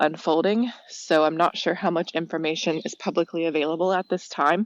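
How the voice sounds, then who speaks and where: A woman's plain, everyday voice, fairly low in pitch, with an American accent, fairly even intonation and a moderate pace, in a dry, close sound with no echo. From United States. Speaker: listener leaving voicemail. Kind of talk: voicemail message. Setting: phone voicemail.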